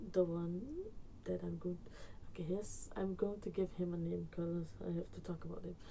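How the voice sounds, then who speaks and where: A woman with a Surinamese accent talks at a fairly slow pace and medium pitch. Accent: Surinamese Dutch accent in English. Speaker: YouTuber storyteller. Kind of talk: storytime vlog, casual. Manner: rambling, hesitant with fillers.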